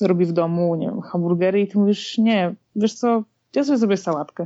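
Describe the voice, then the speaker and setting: Her intonation stays fairly even at medium pitch. The woman uses a normal speaking voice. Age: 20s. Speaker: software developer and amateur triathlete. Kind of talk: interview.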